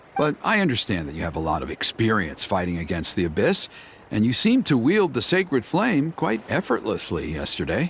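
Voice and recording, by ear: A man's put-on character voice, fairly low in pitch and fairly bright in tone, with very wide pitch swings at a moderate pace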